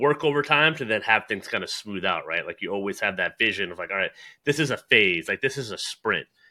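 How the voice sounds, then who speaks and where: This is a plain, everyday voice at a fairly quick pace. The intonation is lively. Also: man. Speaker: podcast host. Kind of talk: casual interview chat. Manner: chatty, informal.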